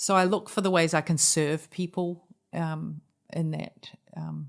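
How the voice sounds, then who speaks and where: A woman with a New Zealand accent speaks at a fairly slow pace and a fairly low pitch. Her intonation is monotone and flat, on a very clean recording with a silent background. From New Zealand (Auckland). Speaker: charity founder and leader. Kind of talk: podcast interview.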